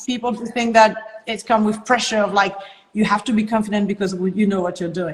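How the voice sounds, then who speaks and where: Speaking at a fairly quick pace, a woman with a French accent has a fairly high pitch and monotone, flat intonation. Noticeable background noise is present. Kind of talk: podcast conversation.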